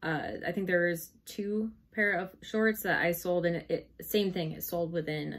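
A woman's voice, fairly low in pitch. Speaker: online reseller. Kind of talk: casual vlog chat. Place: home room. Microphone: camera far.

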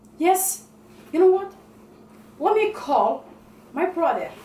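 Audible room echo around a woman's voice. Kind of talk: comedic skit monologue. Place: kitchen. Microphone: camera far.

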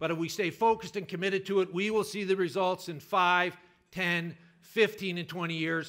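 Against a quiet background, a man uses a raised, projected voice. His tone is bright and sharp, with fairly even intonation. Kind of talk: political speech. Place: hall. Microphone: podium.

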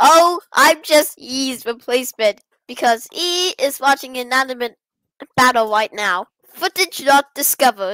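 This female-sounding, robotic put-on character voice sits high in pitch and moves at a moderate pace.

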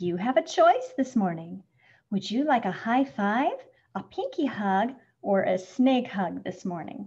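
In a put-on character voice, a woman speaks fairly slowly at a medium pitch with big pitch swings, a slightly mellow tone and a slightly husky edge.

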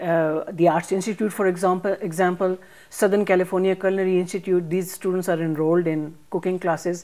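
Monotone, flat intonation from a woman with a dark, mellow tone at a fairly quick pace. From Pakistan, Punjab. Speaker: chef and cookbook author. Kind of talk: interview. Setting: library. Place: studio. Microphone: lapel.

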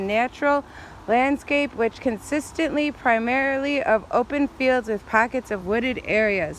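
Fairly slow speech in a dry sound with no echo, over light background noise. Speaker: vlogger. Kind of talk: casual vlog chat, reading a sign aloud. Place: forest. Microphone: phone near.

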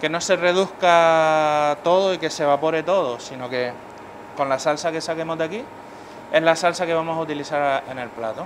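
A man's fairly high pitch at a moderate pace, with ordinary pitch variation

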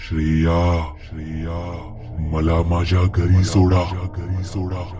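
Over clear background music, a man puts on a character voice with a very deep, low pitch and a very slow pace. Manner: eerie, pleading.

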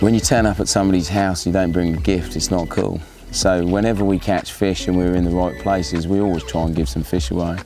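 Clear music plays behind a man with a very deep, low pitch and ordinary pitch variation. He talks at a very fast pace in a dry sound with no echo. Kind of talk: interview answer. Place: waterside.

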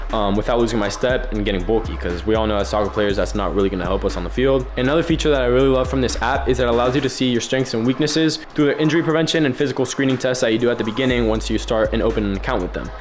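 Over music in the background, a man talks at a very fast pace. He hardly pauses at all. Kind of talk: sponsored vlog segment. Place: gym. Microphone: phone near.

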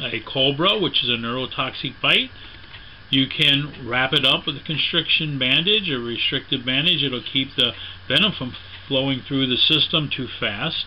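The speech moves at a moderate pace with ordinary pitch variation over light background noise. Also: man. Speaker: snakebite first aid instructor. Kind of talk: tutorial. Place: home room. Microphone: camera far.

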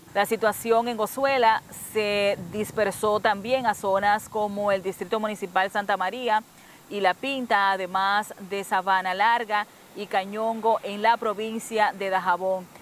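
Intonation is monotone and flat, at a fairly slow pace. Noticeable background noise sits behind the voice. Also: woman, medium pitch for a woman. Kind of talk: news reading. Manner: formal, steady newsreader delivery.

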